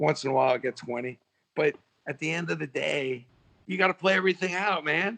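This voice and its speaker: A man speaks in a New York accent at a fairly high pitch. The sound is dry and close, with no echo. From New York City (Brooklyn). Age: 60s. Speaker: sports marketer and author. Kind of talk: casual podcast interview. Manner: animated.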